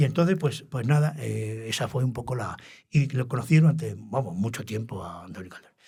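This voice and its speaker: Fairly quick and somewhat breathy, a man's dark, mellow voice at medium pitch shows lively intonation and big swings in loudness. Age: 80s+. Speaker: retired radio journalist. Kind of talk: interview. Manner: halting.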